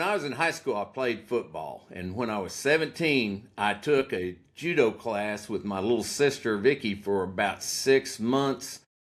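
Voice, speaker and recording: An unremarkable speaking voice from a man with an American accent, medium pitch, lively intonation and a fairly slow pace, on a very clean recording with a silent background. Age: 60s. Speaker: prosecutor. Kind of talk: casual chat.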